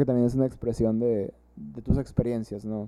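A man's ordinary speaking voice, an ordinary speaking voice at a fairly quick pace, with ordinary pitch variation. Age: 20s. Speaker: drummer and psychologist. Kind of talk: casual chat.

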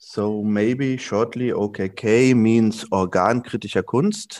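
At a very slow pace, a man with a fairly low pitch speaks in a dry, close sound with no echo and a quiet background. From Germany, Saarland. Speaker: artist and project space organizer. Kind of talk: interview. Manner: halting, many fillers.

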